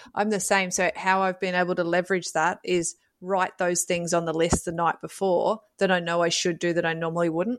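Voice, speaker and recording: Her voice fairly low and monotone with flat intonation, a woman speaks at a fairly quick pace with very even loudness and hardly any pauses. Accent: Australian. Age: 30s. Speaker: mum with ADHD, family support worker. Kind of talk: casual chat.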